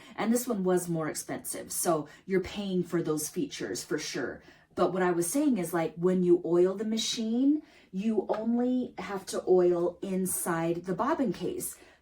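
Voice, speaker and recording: With an animated tone and lively intonation, a woman speaks at a medium pitch and a fairly slow pace. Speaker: embroidery small business owner and sewing YouTuber. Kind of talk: product demo tutorial.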